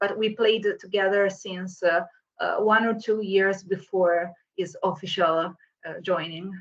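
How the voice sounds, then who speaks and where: Slow-ish in pace, a woman speaks at a medium pitch with monotone, flat intonation. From Italy. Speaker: metal singer. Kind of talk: interview. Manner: halting.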